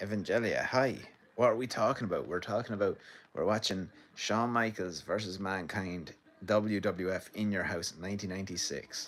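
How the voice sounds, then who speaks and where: Speaking at a moderate pace, a man with an Irish Midlands accent has a fairly low pitch. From Ireland, County Laois. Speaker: filmmaker streaming wrestling watch-along. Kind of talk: casual live-stream commentary. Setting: home sitting room, live stream. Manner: animated.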